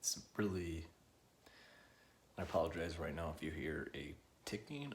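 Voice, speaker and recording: Soft-spoken and somewhat breathy, a man's very deep, low voice with audible room echo. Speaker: vlogger sharing personal experience. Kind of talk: personal testimony. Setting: at home. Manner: quiet, soft-spoken; halting, hesitant.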